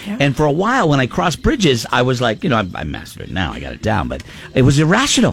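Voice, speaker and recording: A man talks at a very fast pace in an animated tone. Noticeable background noise runs underneath. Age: 50s. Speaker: morning radio host. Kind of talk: casual chat. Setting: studio.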